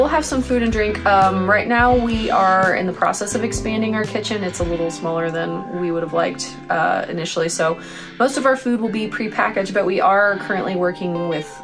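A woman's fairly quick delivery with hardly any pauses, over clear background music. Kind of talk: interview answer. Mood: upbeat, friendly. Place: cafe. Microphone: lapel.

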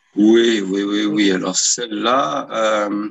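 A man with a fairly low pitch speaks over a quiet background. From France (born in New York, moved at 7). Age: 40s. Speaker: short story writer and editor. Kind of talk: interview. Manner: halting, many repetitions. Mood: calm, reflective. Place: home room. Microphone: video call.

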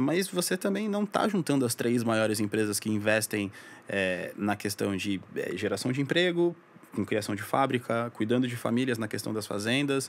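At a moderate pace, a man with a plain, everyday voice of medium pitch speaks with lively intonation. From São Paulo, Brazil, then Santos coast from age 10. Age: 20s. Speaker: advertising professional. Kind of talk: casual interview chat.

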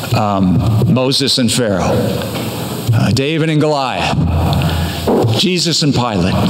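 Noticeable background noise sits under the man's voice. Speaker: pastor. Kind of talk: sermon. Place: church. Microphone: podium.

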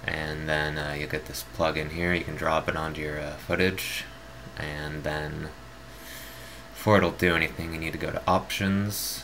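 A man with a very deep, low pitch speaks at a fairly slow pace. Noticeable background noise and audible room echo surround him. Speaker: video tutorial maker. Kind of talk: tutorial. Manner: halting with many fillers.

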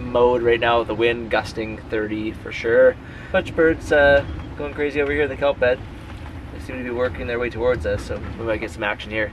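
A man speaks with ordinary pitch variation in a dry sound with no echo, noticeable background noise behind him. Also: fairly quick pace. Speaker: sailing vlogger. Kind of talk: casual vlog chat. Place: boat. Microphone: phone near.

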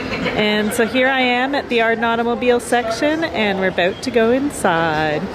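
Hardly pausing at all, a woman talks at a moderate pace over noticeable background noise. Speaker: vlogger, interviewer. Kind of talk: casual vlog chat. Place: hall. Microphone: phone near.

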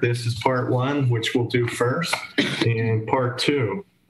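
The speaker talks at a very slow pace. Audible room echo and light background noise fill the recording. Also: man. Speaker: charity organizer running a raffle. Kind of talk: live stream raffle drawing. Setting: live stream. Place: home room. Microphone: webcam.

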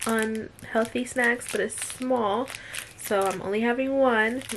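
Intonation stays fairly even while noticeable background noise runs through the clip. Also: woman. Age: young. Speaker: lifestyle vlogger. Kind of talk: casual vlog narration. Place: home room. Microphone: phone near.

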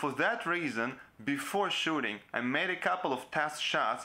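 A man talks at a fairly slow pace with lively intonation. His tone is bright and sharp. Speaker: video creator. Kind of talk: tutorial. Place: home room.

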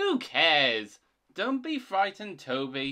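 A man in a put-on character voice talks at a slow pace with a fairly high pitch, a bright, sharp tone and very wide pitch swings.

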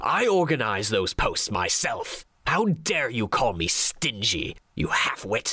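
This is a put-on character voice with a menacing tone. It moves at a fairly slow pace. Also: man, medium pitch for a man, hardly any pauses. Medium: read story. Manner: sneering, menacing, contemptuous.

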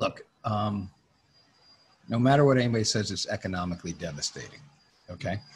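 With an American accent, a man talks at a fairly quick pace in a fairly low pitch with ordinary pitch variation. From Connecticut, US. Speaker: music industry executive and former talent agent; guest. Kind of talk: interview. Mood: reflective, frank.

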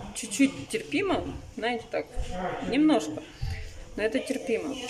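There is noticeable background noise as a woman talks at a medium tempo. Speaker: vlogger. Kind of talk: casual vlog chat.

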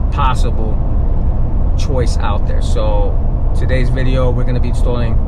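Loud noise runs in the background. A man talks at a moderate pace. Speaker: truck vlogger. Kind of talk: casual vlog chat. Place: car. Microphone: phone near.

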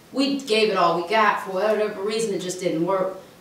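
A woman's voice comes with light background noise. The room echo is audible. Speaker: interview host. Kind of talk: conversational commentary in an interview. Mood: earnest, disapproving. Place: meeting room.

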